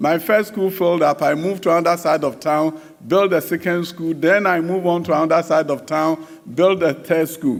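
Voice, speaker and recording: A man with a Ghanaian accent speaks at a fairly quick pace in a high pitch. His intonation is fairly even, and noticeable background noise is audible. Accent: Ghanaian accent kept despite decades in US. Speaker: education minister. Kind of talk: conference speech.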